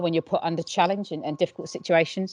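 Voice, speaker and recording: A woman talks at a very fast pace. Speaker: university head of sport, rugby administrator. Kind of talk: panel discussion. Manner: loud.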